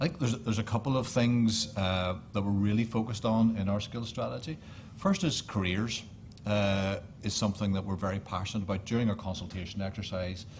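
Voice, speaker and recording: A man's fairly low, somewhat breathy voice in a Northern Irish accent, with ordinary pitch variation. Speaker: government official. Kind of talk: panel discussion.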